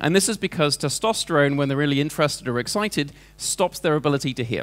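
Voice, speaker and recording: This man's words come out very fast, and his pitch varies in an ordinary way. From England. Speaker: entrepreneur and speaker. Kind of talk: presentation to a seminar audience. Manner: conversational, with many fillers.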